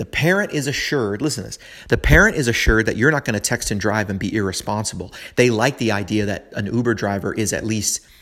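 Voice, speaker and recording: An American-accented man at a very fast pace, with ordinary pitch variation. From US West Coast, San Francisco. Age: 30s. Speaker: podcast host. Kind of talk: casual monologue. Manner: rambling, halting with fillers.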